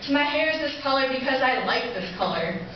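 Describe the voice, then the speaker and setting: A woman with a high voice talks at a fairly quick pace. Strong room echo and light background noise fill the recording. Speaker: spoken word poet. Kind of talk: spoken word poetry performance. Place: stage. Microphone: camera far.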